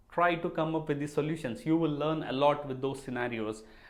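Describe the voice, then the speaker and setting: A man's fairly high voice with ordinary pitch variation, in a room with audible echo. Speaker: database administration educator. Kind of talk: solo Q&A video lecture. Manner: loud.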